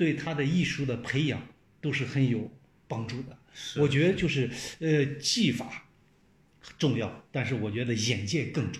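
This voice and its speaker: With audible room echo behind him, a man of medium pitch speaks at a moderate pace, somewhat breathy, with ordinary pitch variation and long, frequent pauses. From China. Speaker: television journalist. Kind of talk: casual chat.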